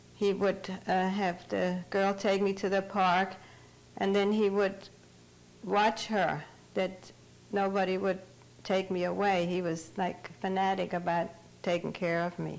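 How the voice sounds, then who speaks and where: Speech comes at a fairly slow pace with long, frequent pauses and a German accent. The intonation stays flat and monotone. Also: woman, medium pitch for a woman. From Germany, Bavaria. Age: 70s. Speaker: Holocaust survivor. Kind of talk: testimony.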